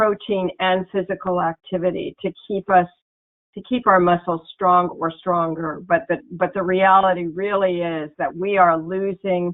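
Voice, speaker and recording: A woman of medium pitch talks fairly slowly in a monotone, flat intonation. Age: 70s. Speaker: nutrition program expert. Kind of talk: webinar Q&A. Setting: online webinar. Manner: halting.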